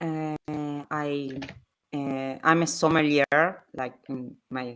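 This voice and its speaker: Speaking in an Argentine accent, a woman has a very deep, low pitch and a bright, sharp tone. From Argentina. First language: Spanish. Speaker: sommelier and game designer. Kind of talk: casual chat.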